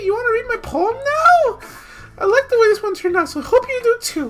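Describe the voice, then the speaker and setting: Over music in the background, a put-on character voice goes at a fairly quick pace, squeaky and extremely high in pitch. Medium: game stream. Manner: warm, encouraging.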